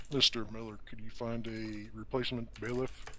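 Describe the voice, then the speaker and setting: The speaker is quiet and uses a put-on character voice. Background noise is clearly audible. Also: man, medium pitch for a man, moderate pace. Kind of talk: mock courtroom speech. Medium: machinima. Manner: quiet, hesitant, formal.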